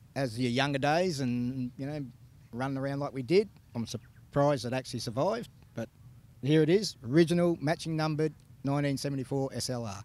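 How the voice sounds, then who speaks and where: With a dry sound and no echo, a man talks at a moderate pace, his pitch varying in an ordinary way. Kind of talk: interview answer. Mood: relaxed, laughing. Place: open country. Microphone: handheld.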